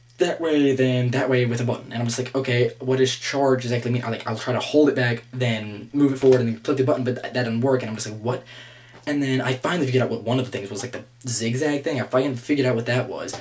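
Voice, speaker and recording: Through noticeable background noise, a man at medium pitch talks at a very fast pace with ordinary pitch variation. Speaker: gaming vlogger. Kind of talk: casual rant to camera. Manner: halting, stammering repeats.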